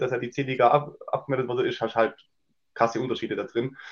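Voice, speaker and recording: Someone speaks in a plain, everyday voice at a fairly quick pace. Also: man. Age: 30s. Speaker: amateur football captain. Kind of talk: casual interview.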